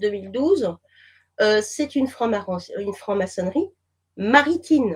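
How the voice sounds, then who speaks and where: A woman talks with a fairly high pitch and a somewhat breathy quality. Her pitch swings very widely. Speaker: whistleblower and therapist. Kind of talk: interview. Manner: slow.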